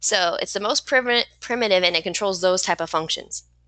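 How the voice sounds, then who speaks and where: Against a quiet background, a bright, sharp voice with ordinary pitch variation comes through dry and close with no echo. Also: woman. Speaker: online course instructor. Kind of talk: live online teaching session. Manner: fast when excited.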